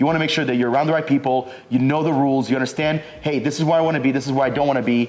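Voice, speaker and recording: A man with an American accent at a fairly high pitch, very fast pace, monotone, flat intonation and very even loudness, with noticeable background noise. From United States. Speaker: recruiting business owner, entrepreneur. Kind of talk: casual interview chat. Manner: casual, filler-heavy.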